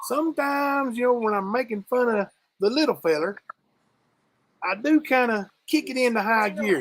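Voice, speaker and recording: At a moderate pace, a woman with a strong Eastern Kentucky accent and a high pitch speaks with lively intonation and long, frequent pauses. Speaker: live stream co-host. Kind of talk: casual chat.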